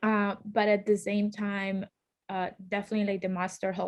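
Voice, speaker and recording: A woman with a Colombian accent speaks at a medium pitch over a quiet background. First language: Spanish. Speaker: law school alumna, lawyer. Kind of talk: panel interview. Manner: hesitant, many fillers.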